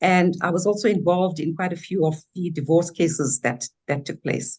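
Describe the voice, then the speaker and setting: A somewhat breathy woman speaks at a moderate pace. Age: 60s. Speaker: businesswoman and former law lecturer. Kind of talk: webinar self-introduction.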